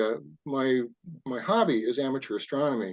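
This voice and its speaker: This is a man speaking at a fairly high pitch. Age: 60s. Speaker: science fiction author and amateur astronomer. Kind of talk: casual interview chat. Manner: hesitant, many fillers.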